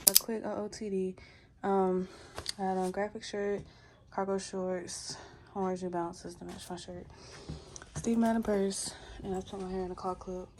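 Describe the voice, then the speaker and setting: A woman's flat, monotone voice at a medium pitch, with music playing behind it. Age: 20s. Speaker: lifestyle vlogger. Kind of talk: vlog narration to camera. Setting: outdoors at a fair. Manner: casual.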